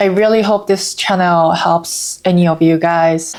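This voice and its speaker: Speaking with a Japanese accent, a woman has a fairly low pitch. Her intonation is fairly even. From Japan, Osaka. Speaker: vlogger. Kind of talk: casual vlog talk.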